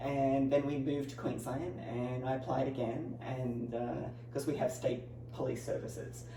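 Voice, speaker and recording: Against noticeable background noise, the speaker talks at a moderate pace with an Australian accent. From Australia, Newcastle, New South Wales. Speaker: personal trainer and pro bodybuilder. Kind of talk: interview.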